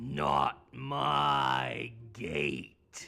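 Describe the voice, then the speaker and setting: This is a put-on character voice. It sounds raspy and growling. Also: man. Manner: sinister.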